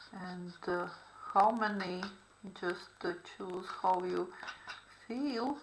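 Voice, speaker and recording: A woman speaks very slowly at medium pitch, with ordinary pitch variation and long, frequent pauses. Audible room echo and noticeable background noise surround her. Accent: non-native. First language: not English. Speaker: art therapy instructor. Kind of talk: tutorial. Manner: halting, many fillers.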